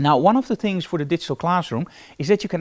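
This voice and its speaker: A man with a Dutch accent and lively intonation, in a very clean recording with a silent background. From Netherlands. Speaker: photography teacher. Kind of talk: live tutorial. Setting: live stream from photo studio. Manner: casual.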